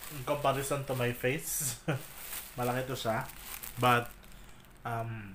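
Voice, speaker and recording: A quiet man speaks fairly slowly at medium pitch in a monotone, flat intonation, with long, frequent pauses. His tone is bright and sharp, and room echo is audible. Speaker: vlogger. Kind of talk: unboxing vlog. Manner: quiet, lowered voice; code-switching Taglish, casual.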